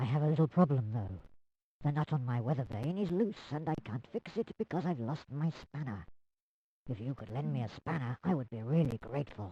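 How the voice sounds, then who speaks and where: Against a quiet background, a man talks fairly quickly in a cartoonish character voice at medium pitch. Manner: enthusiastic, friendly.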